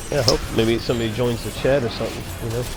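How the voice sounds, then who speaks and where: A man speaks in a relaxed tone with an American accent. The room echo is audible, and there is noticeable background noise. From US South, Florida. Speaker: gaming streamer. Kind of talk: casual gameplay commentary. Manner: relaxed, casual; halting, many fillers.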